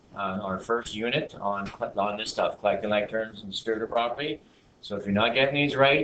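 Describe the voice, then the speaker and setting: Male voice at a medium pitch and fairly quick pace, ordinary pitch variation, noticeable background noise. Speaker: math teacher. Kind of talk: classroom lecture.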